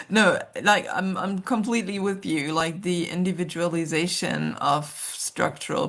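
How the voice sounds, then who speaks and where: A woman's fairly low-pitched voice with a German accent. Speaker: social worker and researcher. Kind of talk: interview conversation. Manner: hesitant, many fillers.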